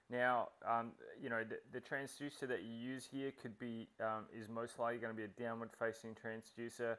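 At a moderate pace, a man speaks with medium pitch, a fairly bright tone and little pitch movement.

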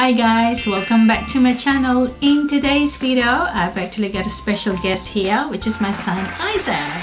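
A woman at a moderate pace with hardly any pauses, clear music in the background. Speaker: vlogger. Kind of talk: casual vlog chat. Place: home room.

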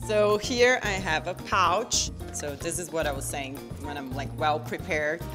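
Very deep, low female speech at a moderate pace, with clear music in the background. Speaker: guest. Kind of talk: casual interview answer showing bag contents. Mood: relaxed, cheerful, laughing. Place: home room.

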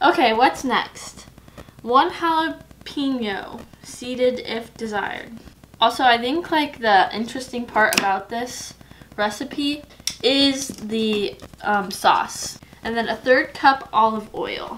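A high-pitched woman with lively intonation at a very slow pace, over light background noise. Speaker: home cook vlogger. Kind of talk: casual vlog chat. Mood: playful, chatty. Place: kitchen. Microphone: camera far.

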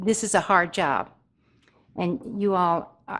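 Vocal fry runs through this voice with an American accent. It moves at a fairly slow pace with ordinary pitch variation. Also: woman. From Durant, Oklahoma, US. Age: 70s. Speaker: public commenter at city council. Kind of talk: public comment at council meeting. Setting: council chambers. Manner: halting.

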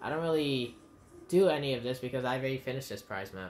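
A fairly quick pace with music in the background. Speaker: gaming streamer. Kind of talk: gameplay commentary. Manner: animated.

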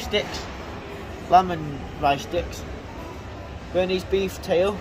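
Noticeable background noise accompanies speech delivered at a very slow pace. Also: man. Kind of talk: casual product walkthrough. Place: market. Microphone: phone near.

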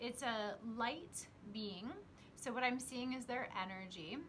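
A woman's voice with ordinary pitch variation, over light background noise. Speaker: psychic teacher. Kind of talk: casual vlog chat. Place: home room. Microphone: phone near.

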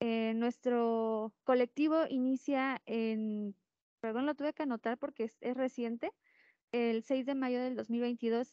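Over a quiet background, a woman with a high pitch talks at a very slow pace, the sound dry with no echo. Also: fairly even intonation. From Mexico, Puebla. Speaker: activist searching for disappeared relatives; panelist. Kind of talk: panel discussion. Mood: earnest, emotional subject. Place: classroom. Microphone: handheld.

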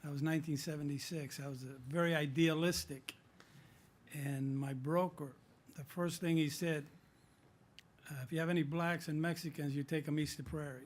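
The voice is somewhat breathy and flat in a monotone, broken by long, frequent pauses. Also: man, fairly high pitch for a man, moderate pace. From Southern California. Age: 60s. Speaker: city council member. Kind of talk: council meeting remarks. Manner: halting.

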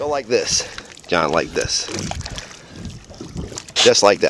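A man speaks at a very slow pace. The sound is dry with no echo but has noticeable background noise. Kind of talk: excited live commentary. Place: boat. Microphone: phone near.

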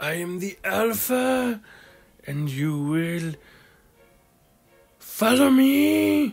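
A put-on character voice at a middle pitch moves at a very slow pace, with long, frequent pauses and very wide pitch swings. Music plays in the background. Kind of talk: comic overacting. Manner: mock-menacing, hammy.

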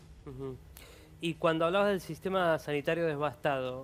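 At a fairly quick pace, a man speaks in an ordinary speaking voice with ordinary pitch variation. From Argentina. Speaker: TV show host. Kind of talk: TV talk show. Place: studio.

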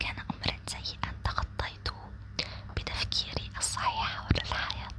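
The voice is soft-spoken. The sound is dry with no echo, but loud background noise is present. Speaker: sleep content creator. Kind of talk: soft sleep-talk monologue with advice. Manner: soft, hushed ASMR talking.

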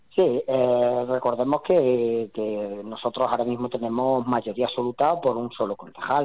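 A man's dark, mellow voice at medium pitch, fairly slow in pace, with fairly even intonation. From Spain, Andalusia (Jaén). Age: 40s. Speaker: mayor. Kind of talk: interview. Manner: halting.

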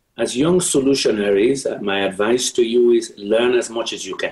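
A man speaks over a quiet background. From Sierra Leone. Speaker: politician and former UN official. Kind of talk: educational talk to students. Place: home room. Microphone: webcam.

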